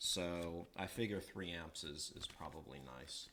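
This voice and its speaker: A man talks with an American accent. His tone is bright and sharp, his intonation lively. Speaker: electronics hobbyist livestreamer. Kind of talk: live tutorial stream. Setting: livestream at workbench. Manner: halting, many fillers.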